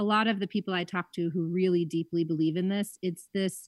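A woman with a plain, everyday voice speaks at medium pitch and a moderate pace, with ordinary pitch variation. The sound is dry and close with no echo, over a quiet background. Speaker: magazine editor. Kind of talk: radio interview. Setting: remote call.

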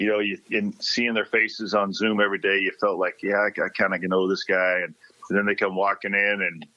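A man speaks with an American accent at a fairly low pitch. Noticeable background noise runs behind him. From Nebraska (Lincoln). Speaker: college football coach. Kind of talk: interview.

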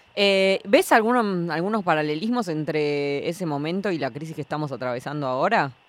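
A woman with an ordinary speaking voice and fairly low pitch talks at a fairly quick pace with lively intonation and hardly any pauses. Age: young. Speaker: radio host. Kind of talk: casual chat.

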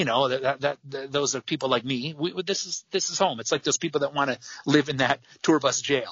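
Speaking fairly quickly in an unremarkable speaking voice, a man with an American accent uses a fairly high pitch with ordinary variation. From US Midwest, Michigan. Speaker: rock band frontman. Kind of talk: casual interview chat.

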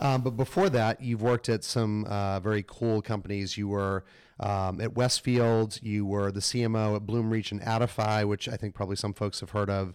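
In a very clean recording with a silent background, a man with an American accent uses an ordinary speaking voice, fairly low in pitch with fairly even intonation, at a moderate pace with hardly any pauses. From New England, Massachusetts. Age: 40s. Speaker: podcast host. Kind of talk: interview. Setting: at a conference.

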